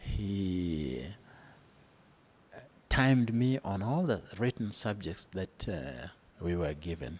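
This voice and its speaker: A man speaks at a very slow pace with long, frequent pauses. His very deep, low voice moves through very wide pitch swings. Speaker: retired accounts and finance practitioner. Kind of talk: interview answer.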